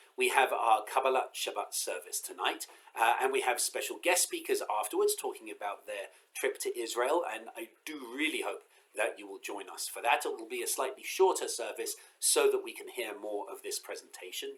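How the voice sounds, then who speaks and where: Loudness swings widely throughout this moderately paced delivery. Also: man. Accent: English. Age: 40s. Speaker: rabbi. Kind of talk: pre-Sabbath congregational message. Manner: casual, hesitant with fillers.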